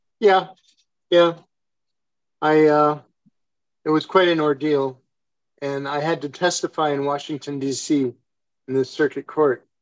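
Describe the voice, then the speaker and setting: With an American accent, a man of fairly high pitch speaks at a fairly slow pace with fairly even intonation and long, frequent pauses. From United States. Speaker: doctor. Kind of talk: group discussion. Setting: video call.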